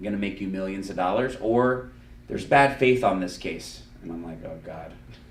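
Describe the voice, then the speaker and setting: In a South Florida accent, a man talks at a fairly quick pace in a fairly low pitch, with lively intonation, big swings in loudness and audible room echo. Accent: South Florida American English. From Miami, Florida. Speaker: lawyer and podcast host. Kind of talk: casual chat. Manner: animated.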